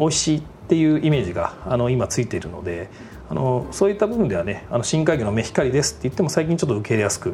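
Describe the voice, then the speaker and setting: A man at a medium pitch, a very fast pace and very wide pitch swings, over noticeable background noise. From Japan, Aichi (Toyohashi). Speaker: food company president. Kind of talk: interview. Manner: formal; hesitant fillers.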